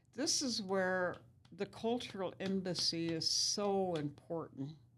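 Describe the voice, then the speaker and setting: Speaking very slowly, a woman has a Lakota accent. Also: medium pitch for a woman, ordinary pitch variation. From US Great Plains, Pine Ridge Reservation, South Dakota. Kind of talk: interview, life story.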